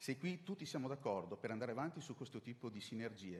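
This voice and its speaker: Somewhat breathy, a man talks at a very fast pace. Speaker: city official. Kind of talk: conference presentation. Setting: conference with slides.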